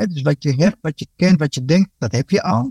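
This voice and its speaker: Man's voice, fairly high in pitch, with very wide pitch swings at a moderate pace, the sound dry and close with no echo. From Dominican Republic, raised in Netherlands from age ten. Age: 40s. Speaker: police inspector and court interpreter. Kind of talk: casual interview. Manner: hesitant, with many fillers and repeats.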